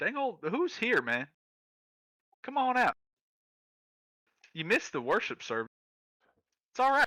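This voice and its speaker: A man puts on a character voice, extremely high in pitch and drawling. He keeps a moderate pace with long, frequent pauses. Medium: actual play. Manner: laid-back, drawling, says "man".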